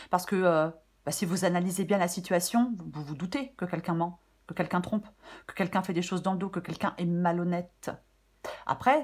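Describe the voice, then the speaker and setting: A woman speaks at a moderate pace with a fairly low pitch. Her voice is somewhat breathy. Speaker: tarot reader. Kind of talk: tarot reading. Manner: hesitant, many fillers.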